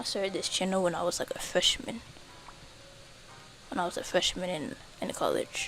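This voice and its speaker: A woman whispering at a fairly quick pace, with long, frequent pauses and music in the background. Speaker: game streamer. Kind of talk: casual live stream chat. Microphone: quiet stream audio.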